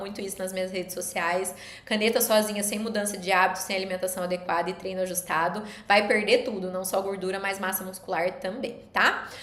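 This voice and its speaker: A woman speaks at a very fast pace with a medium pitch and fairly even intonation. Audible room echo and noticeable background noise come through in the recording. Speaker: nutritionist. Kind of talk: live stream lecture. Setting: live stream.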